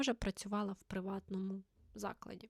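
Recorded dry and close with no echo, this is an unremarkable speaking voice delivered at a moderate pace. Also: woman. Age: 20s. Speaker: author and teacher, book blogger. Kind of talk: casual vlog monologue.

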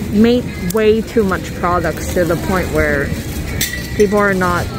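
The sound is dry with no echo, but there is noticeable background noise. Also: fairly slow pace. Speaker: vlogger shopping. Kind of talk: casual vlog chat. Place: market.

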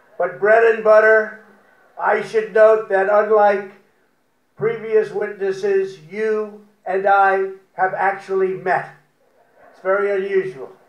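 The voice stays flat and monotone, moving at a very slow pace. Room echo is audible. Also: man, high pitch for a man. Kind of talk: prepared humorous speech. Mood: wry, joking. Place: garden. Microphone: podium.

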